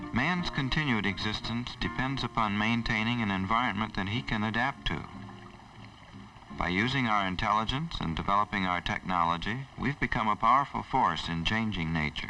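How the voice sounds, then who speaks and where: Lively intonation marks a man's unremarkable speaking voice, pitched fairly low. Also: moderate pace. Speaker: nature center executive director. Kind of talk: documentary narration.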